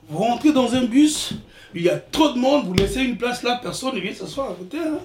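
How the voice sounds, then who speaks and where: Noticeable background noise is present. A man is speaking. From Republic of the Congo (Brazzaville), village. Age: 60s. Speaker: retired IT worker, immigrant father. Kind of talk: life story interview. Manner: halting, repeats words.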